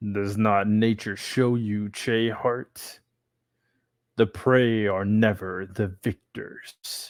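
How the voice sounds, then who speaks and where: A man's put-on character voice, fairly low and monotone with flat intonation, at a very slow pace, in a very clean recording with a silent background. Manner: menacing.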